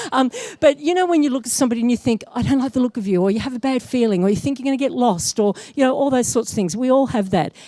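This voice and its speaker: Over noticeable background noise, a woman with an Australian accent talks very fast at a high pitch, animated and with lively intonation. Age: 60s. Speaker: psychic medium. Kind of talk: live talk to audience. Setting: stage with audience.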